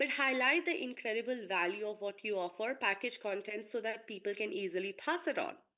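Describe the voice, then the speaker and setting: A woman's bright, sharp voice at a fairly quick clip, with lively intonation. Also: fairly high pitch for a woman. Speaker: marketing lecturer. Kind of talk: online lecture.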